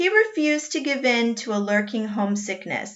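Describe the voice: A plain read-aloud delivery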